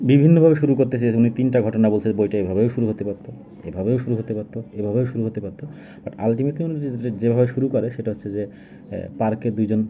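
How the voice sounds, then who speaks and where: This is a man's voice at medium pitch. His pitch varies in an ordinary way. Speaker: book reviewer. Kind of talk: book review monologue. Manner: casual, halting.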